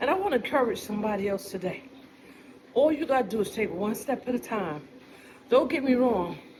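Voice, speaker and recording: Amid noticeable background noise, a woman talks at a fairly quick pace with very wide pitch swings and long, frequent pauses. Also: fairly high pitch for a woman. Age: 60s. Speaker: vlogger. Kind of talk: casual monologue. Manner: animated.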